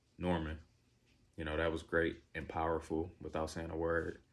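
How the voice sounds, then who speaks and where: Here is a man with a very deep, low pitch. He speaks at a moderate pace. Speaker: movie reviewer. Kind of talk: casual video review monologue. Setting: recording to camera. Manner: hesitant, many fillers.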